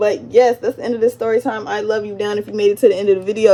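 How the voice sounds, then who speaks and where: A woman races through her words with very wide swings in pitch while noticeable noise sits in the background. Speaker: vlogger. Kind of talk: storytime monologue. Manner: fast; animated.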